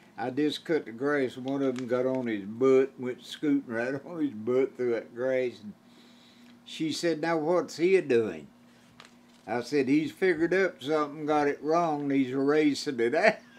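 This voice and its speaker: Ordinary pitch variation at a moderate pace, in an Appalachian accent. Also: man, fairly high pitch for a man. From Eastern Kentucky, Appalachia. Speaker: old-time musician. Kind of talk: storytelling interview answer. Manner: humorous, folksy. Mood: amused, joking. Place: home room.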